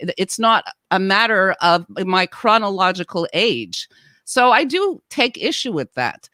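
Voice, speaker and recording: A woman speaks at a fairly slow pace with a bright, sharp tone. The recording is very clean with a silent background and a dry, close sound with no echo. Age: 60s. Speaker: podcast co-host and actor. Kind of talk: casual chat. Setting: podcast.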